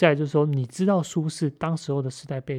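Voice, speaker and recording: On a very clean recording with a silent background, a somewhat breathy man with a fairly high pitch talks at a fairly quick pace. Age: 30s. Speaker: podcast host. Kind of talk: solo monologue on a book. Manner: halting, many fillers and repetitions.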